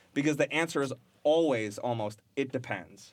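A man's normal speaking voice at medium pitch, moderate pace and ordinary pitch variation, on a very clean recording with a silent background. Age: 30s. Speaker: software engineer. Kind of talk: casual chat.

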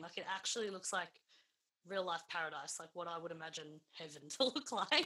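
A woman talks at a fairly quick pace with an Australian accent. Her tone is bright and sharp. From Melbourne, Australia (northern suburbs). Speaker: podcast host, singer. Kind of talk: casual interview.

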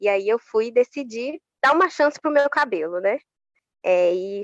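Her voice is an ordinary speaking voice, fairly high for a woman, with lively intonation and a dry, close sound with no echo. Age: 20s. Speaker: public servant and social media influencer. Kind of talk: interview.

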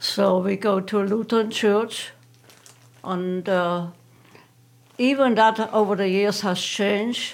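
With a German accent, a woman speaks at a medium pitch and a very slow pace, her intonation fairly even and her pauses long and frequent. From Germany. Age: 80s+. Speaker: retired interviewee. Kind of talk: casual interview. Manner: terse.

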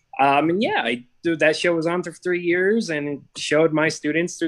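A man with an American accent talks at a moderate pace, his pitch varying in an ordinary way. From Seattle, US Pacific Northwest. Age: 40s. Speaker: high school athletic director. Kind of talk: casual interview chat. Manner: animated.

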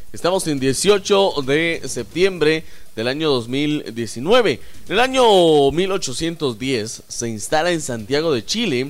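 His delivery comes at a very slow pace. This man's intonation rises and falls in a lively way. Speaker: radio host. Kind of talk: casual chat.

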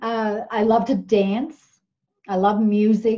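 A woman with a fairly high pitch sounds somewhat breathy, her tone dark and mellow. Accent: Newfoundland. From Newfoundland, Canada (small fishing village). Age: 50s. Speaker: nurse. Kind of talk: casual interview. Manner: halting, many fillers.

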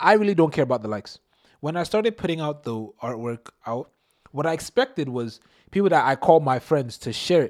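A plain, everyday voice from a fairly high-pitched man, fairly quick with lively intonation, dry and close with no echo in a very clean recording with a silent background. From Nigerian household in Canada. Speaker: podcast guest, best friend of host. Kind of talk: casual chat.

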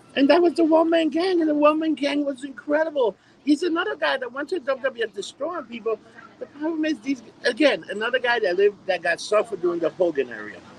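A man speaks at a very fast pace with an extremely high pitch and very wide pitch swings. Noticeable background noise runs underneath. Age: 40s. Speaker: podcast host. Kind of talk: casual chat.

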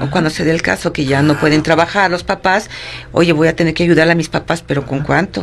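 Over noticeable background noise, a woman talks at a very fast pace in a very deep, low pitch with ordinary pitch variation. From Mexico City. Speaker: psychologist. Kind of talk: interview.

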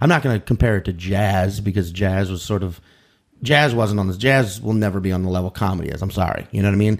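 Speaking at a fairly quick pace with an American accent, a man uses an ordinary speaking voice with a fairly low pitch. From US South, New Orleans area, Louisiana. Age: 30s. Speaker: comedian. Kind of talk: casual chat.

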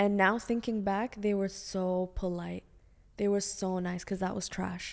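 The woman's medium-pitched voice stays monotone and flat at a fairly slow pace. The recording is very clean, with a silent background. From Bahrain. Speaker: film director. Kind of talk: casual interview. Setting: studio.

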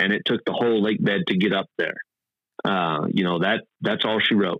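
Speaking with a Texan accent, a man has a medium pitch and ordinary pitch variation. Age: 30s. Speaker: off-road racer and oil industry worker. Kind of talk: casual interview.

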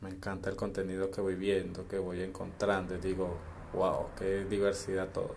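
Audible room echo carries a man's very deep, low voice. His delivery is monotone and flat at a moderate pace. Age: 20s. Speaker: podcaster. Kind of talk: solo monologue.

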